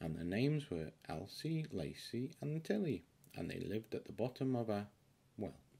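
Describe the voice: Putting on a character voice, a man uses a fairly low pitch with big pitch swings, a dark, mellow tone, a slightly husky edge and vocal fry, all at a fairly slow pace.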